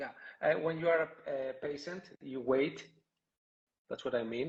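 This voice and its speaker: Here a man speaks at a fairly slow pace. His pitch is fairly high and his intonation fairly even. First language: not English. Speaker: podcast host. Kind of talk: interview on a live podcast. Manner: halting, hesitant. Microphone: connection froze.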